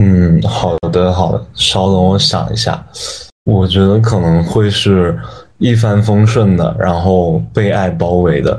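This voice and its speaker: A man with a very deep, low voice speaks very slowly with very wide pitch swings and very even loudness. Audible room echo and noticeable background noise are present. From China, Yunnan (Dali). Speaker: university student and intern. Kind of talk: casual chat.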